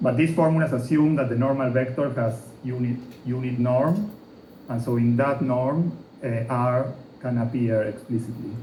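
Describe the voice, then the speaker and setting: A man speaks with ordinary pitch variation over noticeable background noise, with audible room echo. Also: medium pitch for a man, moderate pace. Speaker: physics lecturer. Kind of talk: lecture.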